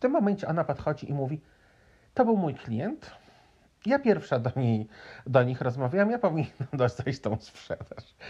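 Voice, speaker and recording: The voice, with a Polish accent, is somewhat breathy with a dark, mellow tone and very wide pitch swings, moving at a moderate pace with long, frequent pauses. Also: man, fairly high pitch for a man. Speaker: podcaster. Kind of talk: casual storytelling monologue.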